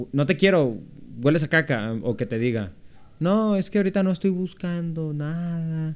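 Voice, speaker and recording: At a moderate pace, a man speaks in a plain, everyday voice with a fairly high pitch. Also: lively intonation. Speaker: podcast co-host. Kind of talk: casual chat.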